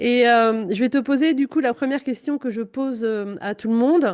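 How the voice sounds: There is ordinary pitch variation in this voice, whose tone is slightly mellow. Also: woman, fairly high pitch for a woman, moderate pace.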